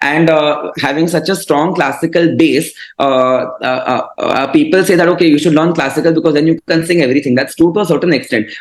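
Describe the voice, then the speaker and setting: A man with a Marathi accent speaks at a fairly quick pace, his pitch fairly high and his loudness very even. His intonation stays fairly even, with noticeable background noise behind him. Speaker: classical vocalist and mental health advocate. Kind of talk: interview conversation. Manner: hesitant, many fillers.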